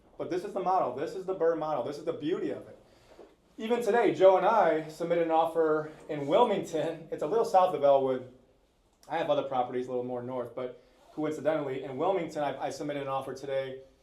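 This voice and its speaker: A man with a dark, mellow tone at a fairly high pitch, very fast pace, ordinary pitch variation, big swings in loudness and audible room echo. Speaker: real estate investor, house flipper. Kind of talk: panel talk at live event.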